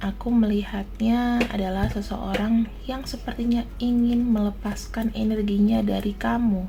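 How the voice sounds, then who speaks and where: Soft-spoken and fairly high-pitched, a woman talks at a fairly slow pace with monotone, flat intonation and hardly any pauses, amid noticeable background noise and audible room echo. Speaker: tarot reader. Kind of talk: tarot reading. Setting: at home, baby sleeping nearby.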